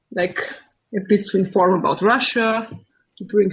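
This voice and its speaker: Her voice is somewhat breathy, at a medium pitch for a woman. She keeps a moderate pace. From Austria. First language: German. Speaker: political video channel host. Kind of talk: interview. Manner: halting, hesitant.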